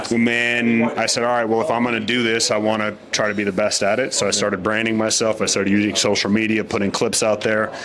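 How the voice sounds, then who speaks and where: A man with an American accent, fairly low in pitch, very fast with hardly any pauses, flat and monotone, amid audible room echo and noticeable background noise. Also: very even loudness. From United States. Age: young. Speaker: boxing ring announcer. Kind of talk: interview.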